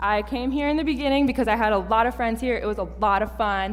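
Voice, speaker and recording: Someone with an American accent talks at a very fast pace. Audible room echo and music in the background come through. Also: woman. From Minnesota (Fergus Falls). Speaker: seminary student preacher. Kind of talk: sermon. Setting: church.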